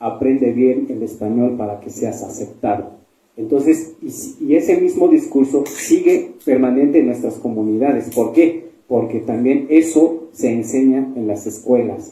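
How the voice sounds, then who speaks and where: A man with a Chiapas accent speaks in a medium pitch. His pace is fairly slow, with hardly any pauses. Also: ordinary pitch variation. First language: Tseltal (speaking Spanish). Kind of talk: panel discussion at book fair. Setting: book fair event with audience.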